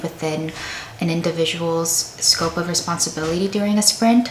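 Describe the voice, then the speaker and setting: With noticeable background noise and audible room echo, a woman talks at a fairly low pitch with ordinary pitch variation. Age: 20s. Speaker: software engineer vlogger. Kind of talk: casual vlog narration.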